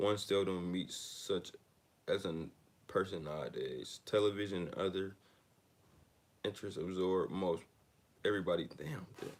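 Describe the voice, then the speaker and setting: Speaking at a moderate pace with a very deep, low pitch, a man keeps a fairly even intonation and leaves long, frequent pauses. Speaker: book reader and commentator. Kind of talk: reading aloud with casual commentary. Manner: monotone; laid back.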